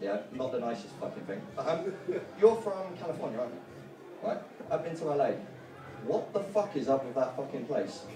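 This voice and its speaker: At a moderate pace, a man with a fairly high pitch makes very wide pitch swings over faint background music. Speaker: stand-up comedian. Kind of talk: stand-up comedy. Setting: stage with audience. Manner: animated, punchy, swearing-laden delivery with filler words. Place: stage. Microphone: camera far.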